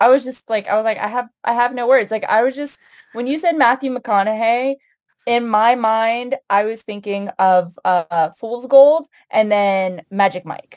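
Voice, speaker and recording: This is an ordinary speaking voice with an American accent, moving at a fairly slow pace with ordinary pitch variation. The sound is dry and close, with no echo. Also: woman, fairly high pitch for a woman. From United States. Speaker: writer. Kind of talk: casual chat.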